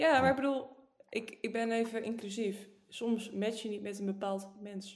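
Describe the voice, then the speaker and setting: Audible room echo surrounds a woman with a fairly high voice. She speaks at a moderate pace with fairly even intonation. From northern Netherlands. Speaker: podcast co-host. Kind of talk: casual chat.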